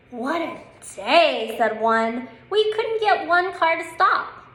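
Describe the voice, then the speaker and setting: Putting on a character voice, a woman speaks at an extremely high pitch and a fairly slow pace, with very wide pitch swings. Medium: read story.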